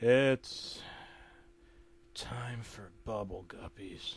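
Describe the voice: A man whispers in a hoarse, raspy, put-on character voice. His tone is bored.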